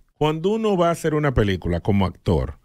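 A fairly high-pitched man speaks at a moderate pace, his pitch swinging very widely. The background is quiet. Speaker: radio host. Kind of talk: radio show hosting. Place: studio. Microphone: studio mic.

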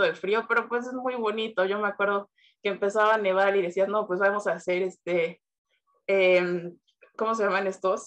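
Against a quiet background, a woman speaks at a moderate pace with fairly even intonation. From Mexico. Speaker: university student. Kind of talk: testimony. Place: home room. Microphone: video call.

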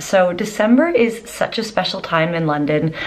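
A woman speaks with lively intonation at a moderate pace. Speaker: travel vlogger. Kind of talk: casual vlog chat. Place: home room. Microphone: phone near.

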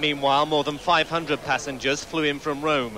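Noticeable background noise sits behind a man talking at a fairly quick pace. His fairly high voice is monotone and flat, with a serious tone. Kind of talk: archive TV news foreign correspondent reporting. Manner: formal, urgent, serious.

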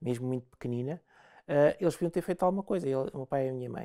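A woman with a European Portuguese accent, dark and mellow in tone, talking very fast with ordinary pitch variation against a quiet background. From Portugal. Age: 50s. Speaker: interview guest. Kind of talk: interview. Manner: halting, many repetitions and fillers. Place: studio.

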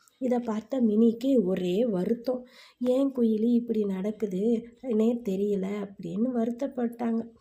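A woman's normal speaking voice at a fairly high pitch with fairly even intonation. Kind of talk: children's moral story narration. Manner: casual, storytelling to children.

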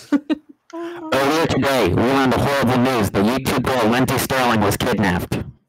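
In a put-on character voice, the speaker goes at a moderate pace with a low-to-middle pitch and hardly any pauses. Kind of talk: broadcast news. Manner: serious, dramatic news delivery.

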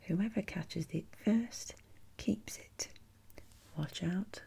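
Soft-spoken and somewhat breathy, a woman talks at a very slow pace. Her tone is dark and mellow, and her pitch varies in an ordinary way. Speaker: ASMR creator. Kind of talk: ASMR role-play as a board game shop assistant, reading game instructions. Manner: soft-spoken, rambling. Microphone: studio mic.

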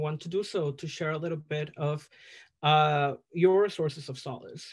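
A man's fairly high voice with a Spanish accent and fairly even intonation, set against a quiet background. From El Salvador. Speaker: drag performer. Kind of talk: casual chat. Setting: video call. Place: home room. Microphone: video call.

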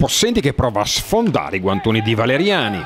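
A man with a medium pitch and lively intonation, fairly quick in pace, against noticeable background noise. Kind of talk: sports commentary, highlights voiceover.

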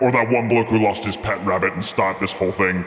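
Through loud background noise, a man puts on a cartoonish character voice at a medium pitch. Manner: sarcastic, exasperated.

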